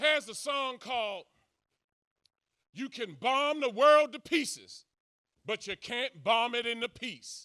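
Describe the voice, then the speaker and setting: A man speaks at extremely high pitch in a raised, projected voice, his tone animated, bright and sharp. His intonation is lively and his pace fairly slow. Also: very clean recording, silent background. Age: 60s. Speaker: social commentator. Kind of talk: speech to audience.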